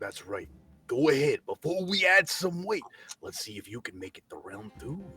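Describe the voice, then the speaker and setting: The speaker puts on a character voice. The pace is moderate. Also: man, high pitch for a man. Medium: actual play. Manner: hearty, casual showman.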